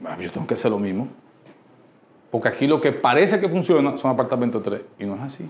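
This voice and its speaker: Very fast speech from a man. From Dominican Republic. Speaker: architect and business workshop leader; presenter. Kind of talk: workshop talk. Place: meeting room. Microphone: lapel.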